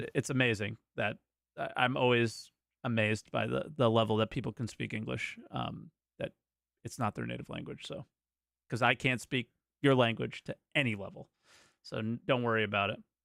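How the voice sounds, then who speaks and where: A man with a General American accent speaks at a medium pitch with vocal fry and fairly even intonation, at a moderate pace with long, frequent pauses, in a dry, close sound with no echo. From United States. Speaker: podcast co-host. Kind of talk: call-in show chat.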